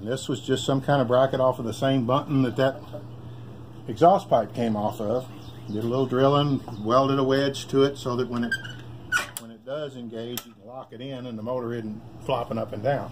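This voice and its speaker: A man speaks at a fairly quick pace with fairly even intonation. His loudness swings widely over noticeable background noise. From Kentucky. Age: 60s. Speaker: hobbyist bike builder. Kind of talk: casual show-and-tell. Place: garage. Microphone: phone near.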